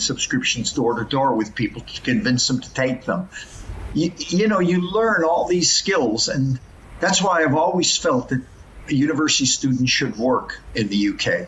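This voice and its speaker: A man with an American accent talks in a normal speaking voice at a moderate pace, his intonation lively. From US West Coast, Los Angeles. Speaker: professor. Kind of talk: podcast interview.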